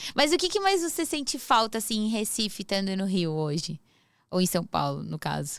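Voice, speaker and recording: This is a woman with an ordinary speaking voice at medium pitch. She talks at a moderate pace with lively intonation. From southern Brazil. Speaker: podcast host. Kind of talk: podcast interview.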